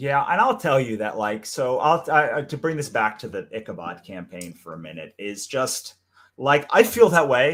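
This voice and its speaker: A loud male voice with vocal fry and very wide pitch swings. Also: medium pitch for a man, moderate pace. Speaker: comics creator and podcast co-host. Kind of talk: casual chat. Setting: live stream.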